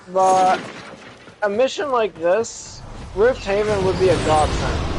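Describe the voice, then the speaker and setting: A fairly slow pace against noticeable background noise. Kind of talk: casual gaming chat.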